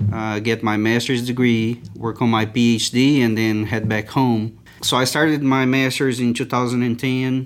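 Speaking with a Portuguese accent, a man keeps a moderate pace, medium pitch and fairly even intonation. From Brazil. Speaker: agricultural scientist. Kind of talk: interview. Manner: halting.

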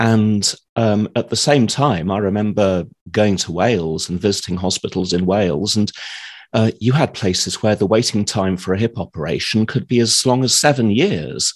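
A man with a normal speaking voice and fairly low pitch talks at a moderate pace with ordinary pitch variation against a quiet background. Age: 50s. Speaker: healthcare data analyst. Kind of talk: interview.

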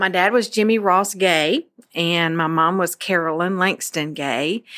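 On a very clean recording with a silent background, a woman speaks with a fairly low pitch and a bright, sharp tone. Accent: Memphis. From Memphis, Tennessee. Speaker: church women's ministry director. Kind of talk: interview.

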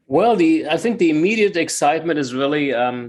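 This man's speech carries a German accent. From Germany, Frankfurt. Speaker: water investment entrepreneur. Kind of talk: interview. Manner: halting, many fillers.

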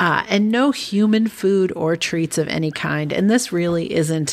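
In a very clean recording with a silent background, a woman uses a normal speaking voice, fairly low in pitch, with ordinary pitch variation. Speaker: podcast co-host. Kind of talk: casual chat.

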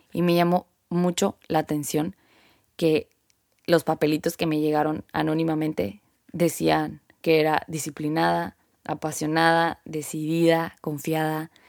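In a very clean recording with a silent background and a dry, close sound with no echo, a woman speaks at a moderate pace with a very deep, low pitch. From northern Mexico, Sonora. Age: 20s. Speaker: podcast host, athlete. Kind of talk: personal monologue.

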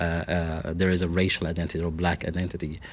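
In a very clean recording with a silent background, a man with a Middle Eastern accent speaks at a fairly quick pace in a very deep, low pitch. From Lebanon. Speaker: city diversity director. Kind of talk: interview conversation. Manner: halting, with many filler words.

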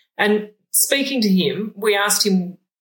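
A woman speaks with an Australian accent. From Moree, New South Wales, Australia. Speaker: sheep geneticist and researcher. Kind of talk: casual interview. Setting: shearing shed.

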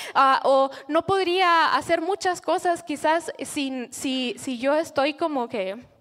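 A woman talks very slowly, her voice high-pitched and her intonation lively. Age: 30s. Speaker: church leader. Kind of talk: sermon-style talk.

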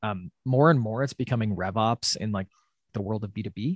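A man with an American accent has an ordinary speaking voice, fairly low in pitch with ordinary pitch variation, at a fairly quick pace. The sound is dry and close with no echo, and the background is quiet. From US Midwest, Wisconsin. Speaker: startup CEO and co-founder. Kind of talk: podcast interview. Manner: many filler words.

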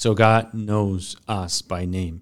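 Here a man with a Mexican accent speaks at a fairly low pitch in a monotone, flat intonation. The recording is very clean with a silent background. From Mexico. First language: Spanish. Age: 30s. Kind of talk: podcast interview. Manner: halting.

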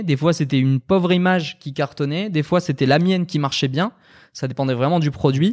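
This man has an unremarkable speaking voice, pitched fairly high with ordinary variation, recorded very cleanly against a silent background with a dry, close sound and no echo. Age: 20s. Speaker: entrepreneur and video designer. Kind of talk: casual chat. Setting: live stream.

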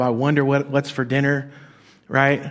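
A man talks at a fairly quick pace with a fairly high pitch. He has a normal speaking voice. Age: 40s. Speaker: pastor. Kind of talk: sermon. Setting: church.

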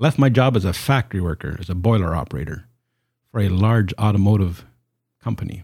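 In a very clean recording with a silent background, a man speaks with a Canadian accent at a fairly low pitch. His voice is somewhat breathy, with lively intonation and a moderate pace. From Canada. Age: 50s. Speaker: evangelist and apologist. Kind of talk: casual interview. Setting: home office studio.

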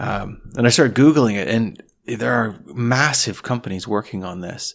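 With a Canadian accent, a man uses a plain, everyday voice at medium pitch with ordinary pitch variation, on a very clean recording with a silent background. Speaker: podcast host. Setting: cottage dining room.

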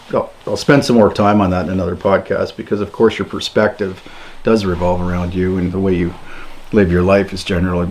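Moderate pace and fairly even intonation in a Canadian accent, with noticeable background noise. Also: man. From Ontario, Canada. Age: 50s. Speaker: homesteader and YouTuber. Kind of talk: solo podcast monologue. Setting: cabin.

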